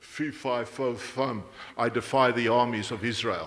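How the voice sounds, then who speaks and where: A booming, put-on character voice from a man at medium pitch, delivered at a fairly slow pace. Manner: defiant, taunting.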